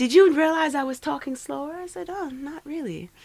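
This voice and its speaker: A woman with a Trinidadian accent, moderate pace and very wide pitch swings. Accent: Trinidadian Caribbean lilt. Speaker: poet. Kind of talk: casual interview chat.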